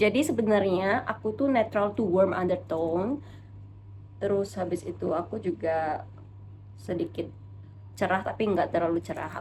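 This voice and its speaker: This woman's fairly low voice swings very widely in pitch and carries vocal fry. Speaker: beauty vlogger. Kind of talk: makeup tutorial. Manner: casual, chatty.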